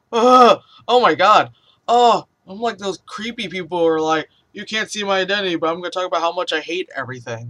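At a moderate pace, a man speaks in a bright, sharp, amused tone. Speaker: vlogger. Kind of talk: casual talk to camera. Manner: rambling, profane, amused. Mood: playful, amused, exclaiming. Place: home room. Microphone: webcam.

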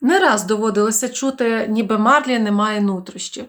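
The words are read aloud in a natural voice.

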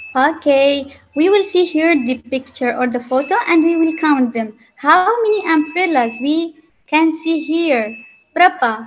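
A woman's high-pitched voice with lively intonation at a fairly slow pace, over light background noise. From Yemen. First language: Arabic. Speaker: guest teacher. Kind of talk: classroom talk to children. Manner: halting. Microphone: video call.

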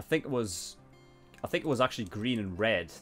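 Faint music plays behind a man who speaks fairly quickly at a fairly low pitch, with lively intonation and a fairly bright tone.

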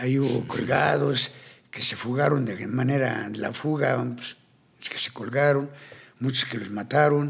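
Fairly slow speech from a man, with ordinary pitch variation. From Colombia, Cartagena; Colombia. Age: 60s. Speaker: tattoo artist and ex-convict; podcast guest. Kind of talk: interview storytelling. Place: studio. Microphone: studio mic.

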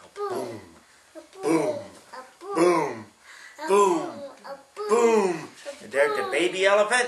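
The voice has a sing-song lilt, with noticeable background noise behind it. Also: man. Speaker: great-grandfather reading to a child. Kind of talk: bedtime story reading aloud to a small child, with sound effects. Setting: at home, one-on-one with a small child. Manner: animated, playful; sing-song, asks the child questions, acts out animal sounds. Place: home room. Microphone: camera far.

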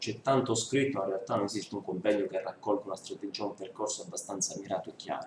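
A man speaks fast in a low voice, his intonation fairly even.

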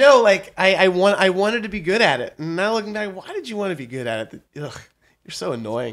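An ordinary speaking voice from a man with an American accent, lively intonation and a moderate pace, on a very clean recording with a silent background. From western Pennsylvania, near Pittsburgh. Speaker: comedy writer. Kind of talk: interview.

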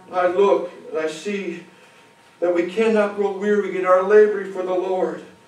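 Speaking in an American accent, a man has a high pitch. Light background noise and audible room echo are present. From United States. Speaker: preacher. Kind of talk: sermon. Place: church.

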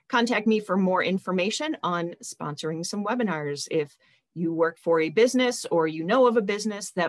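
A woman with an American accent speaks at a medium pitch and a moderate pace. Her intonation is lively against a quiet background. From US Midwest. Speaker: nonprofit webinar host. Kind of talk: webinar hosting. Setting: video call. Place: home room. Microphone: video call.

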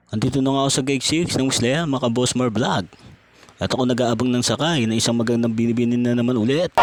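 A man's very fast, very evenly loud speech with fairly even intonation and noticeable background noise. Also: medium pitch for a man. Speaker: vlogger and ride driver. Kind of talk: casual vlog narration. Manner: stuttering, tongue-tied.

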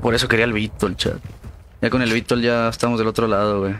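Delivery is fairly quick. Noticeable background noise can be heard. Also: man. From Mexico, Durango. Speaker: gaming streamer. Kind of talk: live gameplay stream commentary. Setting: live stream, home setup. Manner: animated.

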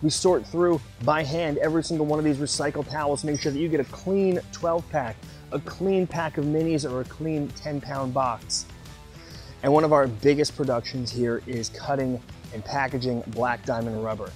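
Faint music plays in the background as a man speaks at a moderate pace with ordinary pitch variation, the sound dry with no echo. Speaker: company staff tour guide. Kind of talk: guided tour presentation. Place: factory.

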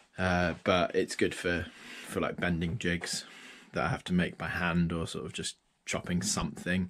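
A man with a very deep, low pitch at a moderate pace. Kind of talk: casual workshop tour commentary. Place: workshop. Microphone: phone near.

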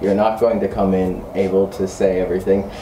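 With a New York accent, a man talks at a moderate pace amid light background noise and audible room echo. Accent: New York American English. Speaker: English teacher. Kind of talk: casual interview. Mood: relaxed, friendly. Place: classroom.

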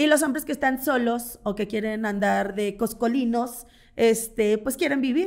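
Over a quiet background, a woman talks at a fairly high pitch with ordinary pitch variation. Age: 40s. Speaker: content creator and swinger party organizer; content creator. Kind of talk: casual interview. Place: studio. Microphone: studio mic.

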